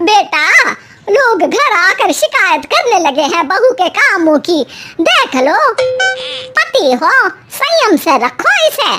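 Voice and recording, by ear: A woman performs a cartoonish character voice at an extremely high pitch with very wide pitch swings. Her loudness stays very even, and her pace is fairly slow.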